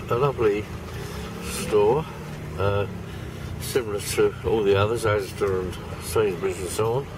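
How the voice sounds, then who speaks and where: Noticeable background noise sits under a man's fairly low voice. His intonation is fairly even, with long, frequent pauses. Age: 80s+. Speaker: vlogger. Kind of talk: casual chat.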